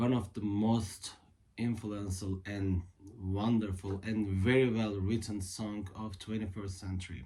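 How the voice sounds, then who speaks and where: This man has a fairly low pitch and a dark, mellow tone, speaking with a Turkish accent and ordinary pitch variation. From Turkey. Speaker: guitarist and music video creator. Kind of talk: casual talk to camera about music history. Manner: halting, many fillers.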